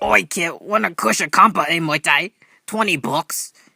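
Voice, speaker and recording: Over music in the background, a raspy put-on character voice speaks at a middle pitch and moderate pace. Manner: sly, pushy.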